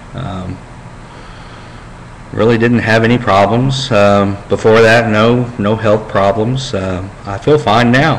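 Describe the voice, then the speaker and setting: Over noticeable background noise and audible room echo, a man at medium pitch speaks at a very slow pace with fairly even intonation. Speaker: vlogger with brain cancer. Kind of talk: personal video diary. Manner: halting, many fillers.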